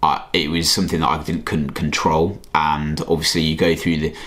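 A man with a very deep, low voice speaks at a moderate pace. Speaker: vlogger. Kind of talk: casual vlog chat. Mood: reflective, personal. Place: home room. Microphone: phone near.

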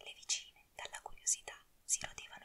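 Noticeable background noise sits behind a woman whispering at a moderate pace. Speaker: ASMR narrator. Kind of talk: whispered fairy tale reading. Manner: whispered.

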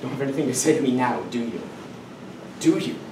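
A man keeps a moderate pace while noticeable background noise carries on around him. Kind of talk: dramatic monologue performance. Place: classroom. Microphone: camera far.

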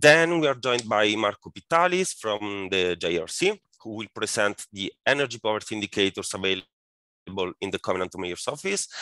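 A man's fairly low voice at a fairly quick pace, the sound dry with no echo against a quiet background. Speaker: webinar moderator. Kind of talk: moderator introduction of speakers.

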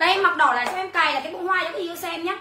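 An animated woman with a raised, projected voice at an extremely high pitch and very fast pace, with audible room echo and light background noise. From Vietnam. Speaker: online clothing seller. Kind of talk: livestream sales pitch. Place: home room. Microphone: phone near.

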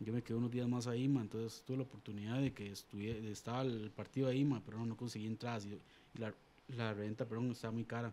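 The voice has a dark, mellow tone. Its pace is very fast. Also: man. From Costa Rica, Alajuela; Costa Rica. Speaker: sports show presenter; presenter. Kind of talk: casual chat. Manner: animated. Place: studio. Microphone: studio mic.

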